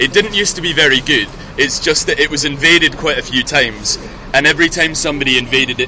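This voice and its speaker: A man talks at a very fast pace with ordinary pitch variation. Noticeable background noise runs beneath him. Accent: Scottish. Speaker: walking tour guide. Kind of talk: guided tour talk. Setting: outdoors.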